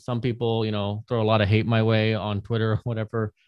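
The speech moves at a fairly quick pace with monotone, flat intonation, and the sound is dry and close with no echo against a quiet background. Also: man. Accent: American. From United States. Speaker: artist and NFT project founder. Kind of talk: podcast interview, presentation.

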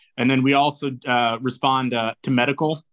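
At an unhurried, moderate pace, a man uses a plain, everyday voice, mid-range in pitch and fairly level in intonation. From Indiana, US Midwest (born in New Zealand). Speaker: military recruiter. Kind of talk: interview.

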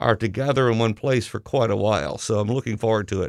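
A man speaks at a fairly quick pace with medium pitch and ordinary pitch variation in a plain, everyday voice. The recording is very clean with a silent background and a dry, close sound with no echo. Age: 50s. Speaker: high school principal. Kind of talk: casual interview on school radio.

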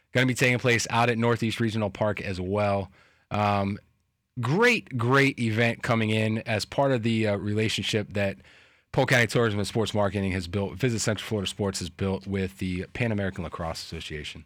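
A man's plain, everyday voice, fairly low in pitch, at a fairly quick pace with fairly even intonation, on a very clean recording with a silent background. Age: 30s. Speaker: sports radio host. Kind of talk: sports talk radio.

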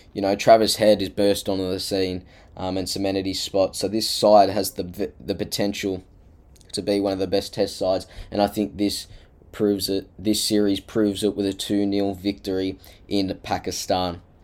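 With an Australian accent, a man speaks at a moderate pace in monotone, flat intonation, in a very clean recording with a silent background. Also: fairly low pitch for a man. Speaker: sports podcaster. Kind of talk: solo monologue preview.

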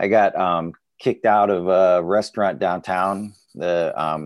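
In a very clean recording with a silent background, a man talks with a very deep, low pitch and ordinary pitch variation. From Southeast Alaska. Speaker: doctor.

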